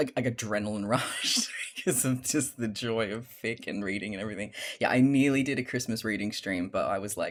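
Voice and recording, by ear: The pitch varies in an ordinary way as someone is reading aloud in a natural voice.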